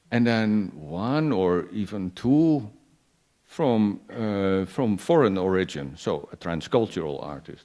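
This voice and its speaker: A man with a fairly low pitch, a dark, mellow tone and a Dutch accent speaks at a very slow pace with very wide pitch swings. The background is quiet. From Netherlands. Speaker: performance artist and curator. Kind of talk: panel talk. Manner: halting, many repetitions.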